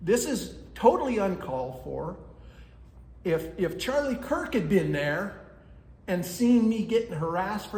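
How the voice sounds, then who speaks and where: Loud and at a moderate pace, a man speaks with very wide pitch swings amid noticeable background noise and audible room echo. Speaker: citizen activist. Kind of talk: public comment at county meeting. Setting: county commission meeting.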